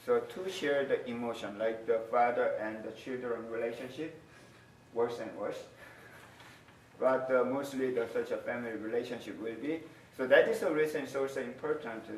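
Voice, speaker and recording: Fairly even intonation marks this man's speech, heard with noticeable background noise and audible room echo. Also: medium pitch for a man, moderate pace. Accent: Korean. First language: Korean. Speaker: university lecturer. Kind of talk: lecture. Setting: classroom. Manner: halting.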